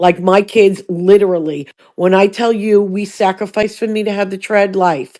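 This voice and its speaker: The tone is dark and mellow, with fairly even intonation. The pace is moderate and the background quiet. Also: woman. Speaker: live streamer. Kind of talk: casual chat.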